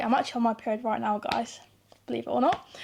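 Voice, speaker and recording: A British accent on a very clean recording with a silent background. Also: woman. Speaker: YouTuber. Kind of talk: casual advice monologue to camera. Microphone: new mic.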